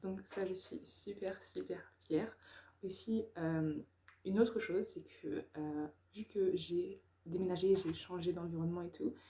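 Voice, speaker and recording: Her tone is dark and mellow, somewhat breathy, with ordinary pitch variation. The woman speaks at a very slow pace. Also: medium pitch for a woman. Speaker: YouTuber, personal development. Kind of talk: personal vlog monologue. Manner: hesitant, many fillers.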